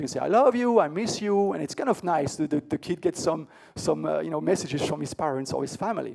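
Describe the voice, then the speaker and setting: A man talks at a fairly quick pace with lively intonation and a high pitch. The background stays quiet. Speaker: tech conference keynote speaker; conference keynote speaker. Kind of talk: conference talk. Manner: fast; hesitant, many fillers and repeats. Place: hall.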